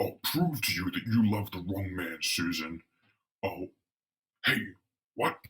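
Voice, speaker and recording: A man uses a put-on character voice at a fairly low pitch. He goes at a fairly slow pace with long, frequent pauses. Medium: read story. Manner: gruff, menacing.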